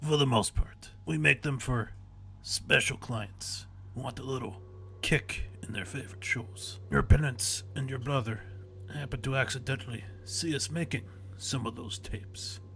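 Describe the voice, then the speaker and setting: Over clear background noise, a man speaks at medium pitch and a moderate pace in a put-on character voice with a strong Russian accent. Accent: very thick Russian. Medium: read story. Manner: calm, menacing.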